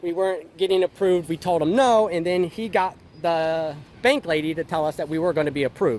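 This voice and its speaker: Pitched high, a man's voice comes through. He speaks at a fairly quick pace. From outside the Philippines. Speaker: vlogger. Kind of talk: personal story vlog. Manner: loud; hesitant, many fillers.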